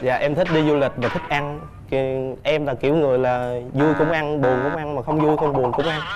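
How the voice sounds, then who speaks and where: Music plays in the background and the room echo is audible. The speech moves at a fairly quick pace with fairly even intonation and hardly any pauses. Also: man, fairly high pitch for a man. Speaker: dating show contestant. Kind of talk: casual chat. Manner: talkative.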